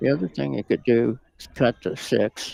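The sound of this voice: Soft-spoken and croaky, a man talks at a medium pitch with a dark, mellow tone, a slightly husky edge and vocal fry.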